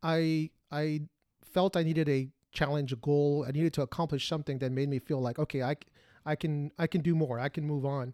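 On a very clean recording with a silent background and a dry, close sound with no echo, a man with a Spanish accent speaks at a fairly quick pace in a dark, mellow tone, his pitch fairly high and his intonation fairly even. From Mexican family, grew up speaking Spanish. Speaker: podcast co-host, former Marine. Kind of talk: casual chat.

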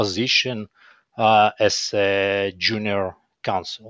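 A man speaks with a fairly low pitch. The sound is dry and close with no echo, over a quiet background. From Ukraine, Kyiv. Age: 40s. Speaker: business executive. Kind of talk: interview. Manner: halting, many fillers.

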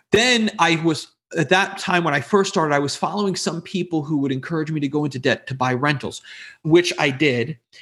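An unremarkable speaking voice: a man with a fairly high pitch and ordinary pitch variation, talking at a fairly quick pace. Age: 40s. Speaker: real estate investor and business coach. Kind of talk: interview.

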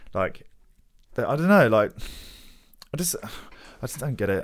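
Talking at a fairly quick pace, a man leaves long, frequent pauses. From Hounslow, west London. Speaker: podcast host. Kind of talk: casual interview chat. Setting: studio.

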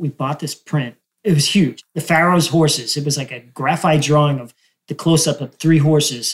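A somewhat breathy man with an American accent, fairly high in pitch, fairly even in intonation, with big swings in loudness. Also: moderate pace. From New Jersey. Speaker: photographer and gallery owner. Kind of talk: casual chat. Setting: in a photo gallery.

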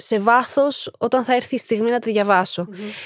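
Speaking at a fairly slow pace, a woman with a high pitch and ordinary pitch variation is heard in a very clean recording with a silent background and a dry, close sound with no echo. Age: 20s. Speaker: actress and social media creator. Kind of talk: casual interview. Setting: studio.

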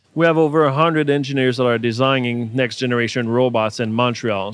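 Speaking fairly quickly with a Quebec accent, a man keeps a medium pitch and fairly even intonation. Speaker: robotics company founder. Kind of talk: interview. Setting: trade show booth.

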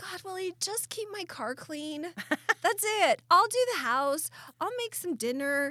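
A woman with an American accent speaks in an extremely high, bright and sharp voice, raised and projected at a fairly slow pace. Her loudness swings widely and her pitch rises and falls over a very wide range. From Southeast Idaho. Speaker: podcast co-host. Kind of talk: casual chat.

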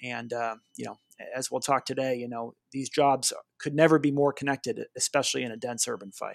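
An American man with an unremarkable speaking voice, medium pitch and fairly even intonation at a fairly quick pace, on a very clean recording with a silent background and dry, close sound with no echo. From Boston, Massachusetts. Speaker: army artillery officer. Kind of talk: interview conversation.

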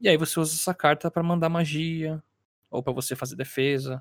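Using a normal speaking voice, a man talks at a fairly quick pace with a fairly high pitch and ordinary pitch variation, the sound dry and close with no echo. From Brazil, São Paulo. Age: 20s. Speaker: podcast co-host. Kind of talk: casual chat.

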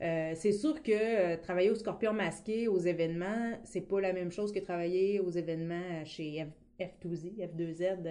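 A woman in a rural Quebec accent talks at a medium pitch with ordinary pitch variation. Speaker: board game event coordinator. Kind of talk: casual interview. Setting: studio.

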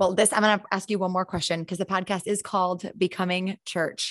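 Monotone and flat in intonation, a woman talks at medium pitch. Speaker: podcast host. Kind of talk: casual interview.

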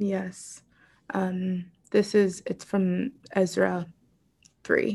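A woman with an American accent speaks at a very slow pace in a medium, somewhat breathy voice with a dark, mellow tone, flat monotone intonation and long, frequent pauses. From Pittsburgh, Pennsylvania, US. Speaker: writer and spiritual teacher. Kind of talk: interview conversation. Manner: hesitant, many fillers.

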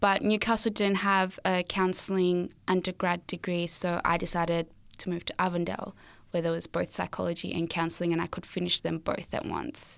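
In a very clean recording with a silent background, a woman with an Australian accent speaks at a moderate pace, her fairly low pitch held in fairly even intonation. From Zimbabwe. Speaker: student guest sharing testimony. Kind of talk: testimony, interview. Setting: studio.

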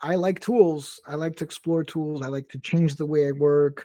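A man with a Portuguese accent speaks in a dark, mellow tone and a fairly high pitch, at a fairly slow pace with fairly even intonation, the sound dry and close with no echo. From Brazil. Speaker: tech company founder. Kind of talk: interview. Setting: live stream.

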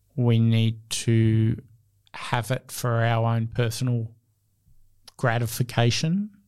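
A man with a medium pitch and an Australian accent talks at a very slow pace, with long, frequent pauses. His intonation is monotone and flat, and his loudness stays very even. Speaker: entrepreneur, founder of an innovation consultancy. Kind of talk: interview.

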